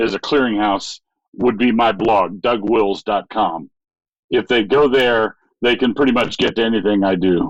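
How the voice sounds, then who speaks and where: At a moderate pace, a man speaks at a medium pitch with ordinary pitch variation and very even loudness, in a dry, close sound with no echo. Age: 60s. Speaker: pastor and author. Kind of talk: interview.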